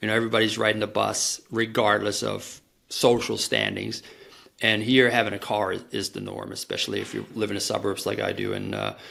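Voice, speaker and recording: The speech moves at a fairly quick pace with a slight German accent. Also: man. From Germany. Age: 40s. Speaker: marketing professional. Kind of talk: podcast interview.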